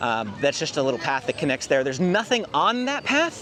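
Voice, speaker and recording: A man speaks at a fairly high pitch while noticeable noise carries on in the background. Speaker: theme park vlogger. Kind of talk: walking tour narration. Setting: outdoors. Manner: fast.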